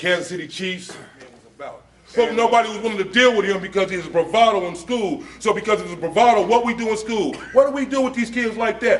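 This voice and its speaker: Over noticeable background noise, a man with an American accent speaks fairly quickly at a high pitch, with ordinary pitch variation and big swings in loudness. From Los Angeles, US West Coast. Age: 40s. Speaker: officer and former gang member. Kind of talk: public talk at a luncheon.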